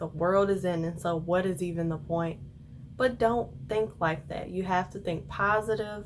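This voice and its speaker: With an American accent, a woman speaks fairly slowly in an unremarkable speaking voice. Her pitch is medium, with ordinary pitch variation. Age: 20s. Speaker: law student. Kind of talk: casual talk to camera.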